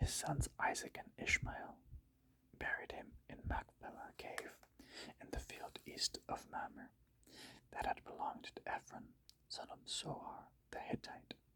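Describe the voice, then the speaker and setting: A man whispers at a fairly slow pace. Long pauses come often. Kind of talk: Bible reading, ASMR. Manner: whispered, slow.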